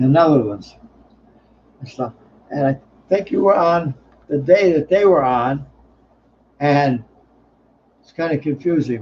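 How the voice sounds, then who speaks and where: A man speaks at a fairly slow pace with long, frequent pauses and big swings in loudness. His voice is fairly high and somewhat breathy, with ordinary pitch variation. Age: 70s. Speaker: livestream host. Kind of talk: casual chat. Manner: halting.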